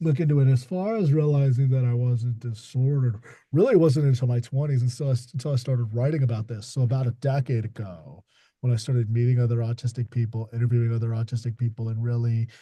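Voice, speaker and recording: A man's somewhat breathy, medium-pitched voice at a very fast pace, with fairly even intonation. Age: 30s. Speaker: author. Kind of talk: panel discussion. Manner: halting, repeats words.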